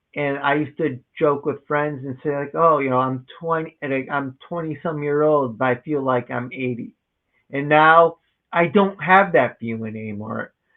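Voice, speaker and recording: A man with a normal speaking voice talks at a moderate pace, his fairly high pitch moving with ordinary variation. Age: 30s. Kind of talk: interview conversation.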